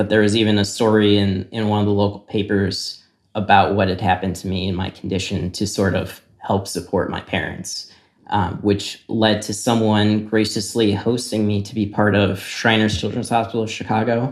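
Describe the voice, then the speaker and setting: A man with a Midwestern American accent speaks at a moderate pace, his pitch fairly low and his intonation monotone and flat. The recording is very clean, with a silent background. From US Midwest, Naperville, Illinois. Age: 30s. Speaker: interviewee telling his life story. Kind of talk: personal testimony. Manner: hesitant, many fillers.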